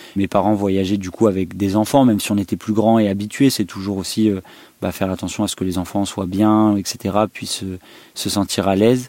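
At a moderate pace, a man speaks in a dark, mellow tone with a fairly low pitch and monotone, flat intonation. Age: 20s. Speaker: vanlifer. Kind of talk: interview.

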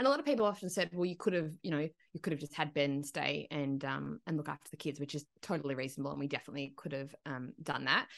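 A woman talks very fast in an Australian accent, with hardly any pauses. Her voice is very deep and low, with vocal fry and ordinary pitch variation. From Broken Hill, outback New South Wales, Australia. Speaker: country singer and agency owner. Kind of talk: casual chat. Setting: video call.

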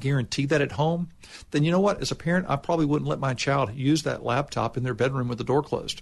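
Against a quiet background, a man talks at a very fast pace in a somewhat breathy, fairly high voice with ordinary pitch variation. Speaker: state official. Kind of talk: interview answers.

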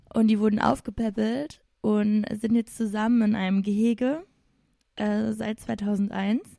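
With a Saarland accent, a woman talks at a fairly slow pace. Her voice is fairly high in pitch with a dark, mellow tone. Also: fairly even intonation. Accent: Saarland dialect speaker. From Saarland, Germany. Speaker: teacher, host's sister. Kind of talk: casual chat.

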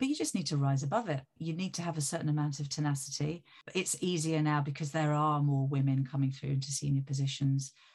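A woman with a very deep, low, somewhat breathy voice speaks very fast with hardly any pauses. Her loudness stays very even and her intonation fairly even. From Italy. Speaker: music industry executive. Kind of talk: interview.

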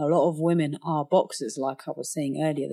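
A woman's very deep, low voice in a London accent, dark and mellow, with ordinary pitch variation at a moderate pace, on a very clean recording with a silent background. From London, England (Somali refugee family). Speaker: professional boxer. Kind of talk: casual interview conversation.

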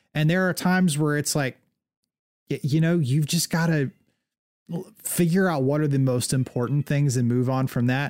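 A man with a normal speaking voice, fairly high in pitch, talks at a moderate pace with very even loudness. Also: ordinary pitch variation. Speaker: podcast host. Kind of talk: casual chat.

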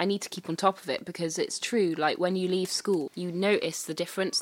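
A woman with a Welsh accent speaks in a fairly even intonation. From Wales, Carmarthenshire. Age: 20s. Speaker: singer-songwriter. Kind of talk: casual interview chat. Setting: interview at her mother's house.

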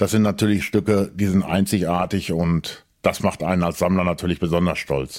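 On a very clean recording with a silent background, a man with a very deep, low pitch speaks with fairly even intonation, very even loudness and hardly any pauses. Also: moderate pace. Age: middle-aged. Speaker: collector. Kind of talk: interview. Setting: at his home.

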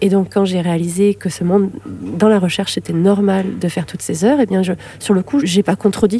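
A woman talks at a fairly quick pace. She has a slight southern French accent. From southern France, Lamalou-les-Bains (Hérault). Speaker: neurobiologist and author. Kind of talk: interview testimony. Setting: library.

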